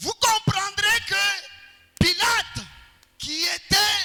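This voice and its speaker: A man uses a raised, projected voice at a very slow pace. Noticeable background noise sits behind him. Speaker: pastor. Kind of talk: sermon.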